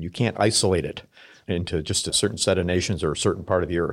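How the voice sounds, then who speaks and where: A man with an American accent speaks very fast at a very deep, low pitch, with fairly even intonation. The recording is very clean, with a silent background. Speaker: military officer. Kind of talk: interview.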